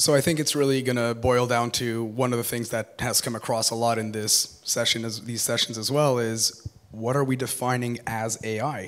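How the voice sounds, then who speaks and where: A man talks in a monotone, flat way with hardly any pauses. Noticeable background noise sits behind him. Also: medium pitch for a man, moderate pace. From Quebec, Montreal. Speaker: business intelligence director and panelist. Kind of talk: panel discussion.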